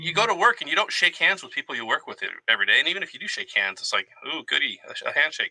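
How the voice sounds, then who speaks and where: A man speaks in a dry, close recording with no echo at all. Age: 40s. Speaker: army veteran. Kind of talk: casual conversation.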